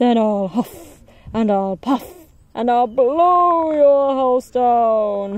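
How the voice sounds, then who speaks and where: Bellowing in a put-on character voice, the speaker goes at a very slow pace with a fairly high pitch. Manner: roaring, menacing.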